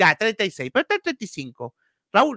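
In a Chilean accent, a man uses a raised, projected voice with a high pitch and a bright, sharp tone. The sound is dry and close with no echo, on a very clean recording with a silent background. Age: 30s. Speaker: football podcast host. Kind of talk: casual chat.

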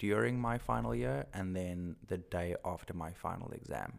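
In a South African accent, this speaker uses lively intonation on a very clean recording with a silent background. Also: man. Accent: Afrikaans-accented English. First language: Afrikaans. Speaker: male model.

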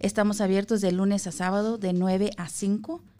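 A woman speaks slowly at medium pitch with ordinary pitch variation. Music plays in the background. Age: 40s. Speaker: health insurance enrollment representative. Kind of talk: radio interview, informational. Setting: radio studio.

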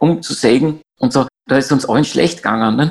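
At a fairly quick pace, a man with a fairly high pitch talks with vocal fry. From Austria, Graz. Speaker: climate activist. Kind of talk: interview. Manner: halting.

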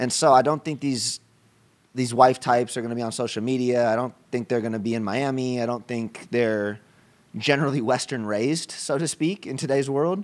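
The recording is very clean, with a silent background. A man with a normal speaking voice speaks at a medium pitch with ordinary pitch variation. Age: 30s. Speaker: entrepreneur. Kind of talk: casual chat. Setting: at his home.

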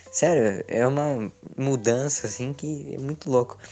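The delivery is fairly unhurried. Background music can be heard. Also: man. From Curitiba, southern Brazil. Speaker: TikTok content creator. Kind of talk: casual podcast interview.

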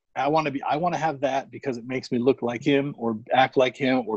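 An unremarkable speaking voice from a man, medium pitch, ordinary pitch variation, fairly quick pace, in a dry, close sound with no echo. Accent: American. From Arizona, Phoenix area. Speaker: sneaker collector and social media personality. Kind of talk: casual chat.

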